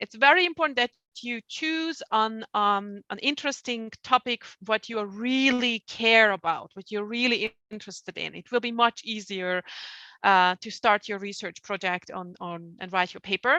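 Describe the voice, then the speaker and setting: A woman's fairly high, bright, sharp voice in a Hungarian accent, at a moderate pace with big swings in loudness, dry and close with no echo against a quiet background. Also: lively intonation. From Hungary. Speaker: publishing outreach staff, presenter. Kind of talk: webinar presentation. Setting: online webinar.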